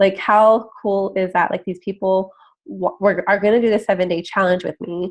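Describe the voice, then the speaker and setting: A woman talks at a moderate pace and medium pitch. Her intonation is flat, a monotone. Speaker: health and fitness coach. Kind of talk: screen-share tutorial. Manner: casual, filler-heavy with 'like' and 'um'.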